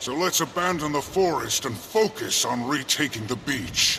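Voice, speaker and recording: Someone performs a put-on character voice at a moderate pace. Clear background noise runs underneath. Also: man, fairly high pitch for a man. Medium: video game. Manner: proud, formal.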